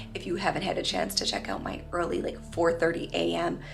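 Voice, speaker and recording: Over music in the background and audible room echo, a woman with an American accent talks at a fairly quick pace. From Michigan. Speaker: lifestyle vlogger and holistic nutritionist. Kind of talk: vlog narration. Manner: casual, filler-heavy.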